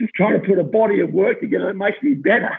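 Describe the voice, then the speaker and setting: In an Australian accent, a man talks at a very fast pace with ordinary pitch variation. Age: 50s. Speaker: athletics coach. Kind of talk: interview. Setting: office. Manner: hesitant, many fillers.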